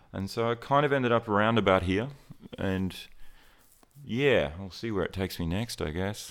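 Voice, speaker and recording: A man with an Australian accent, moderate pace, long and frequent pauses. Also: fairly low pitch for a man, ordinary pitch variation. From rural Queensland, Australia. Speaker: portrait photographer. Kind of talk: interview, casual chat. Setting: studio.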